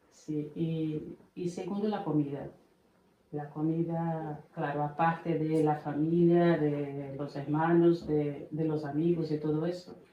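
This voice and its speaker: A woman with a very deep, low pitch speaks very slowly in a Portuguese accent, her intonation monotone and flat. Noticeable background noise and audible room echo surround her voice. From Brazil, Bahia. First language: Portuguese (speaking Spanish). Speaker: immigrant mother. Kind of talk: podcast interview.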